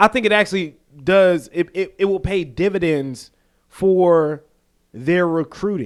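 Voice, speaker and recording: A man with an American accent speaks fairly slowly in a high pitch for a man. His tone is animated, with ordinary pitch variation. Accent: Southern US accent, noted as strong up north. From US South. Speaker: podcast co-host. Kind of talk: casual chat.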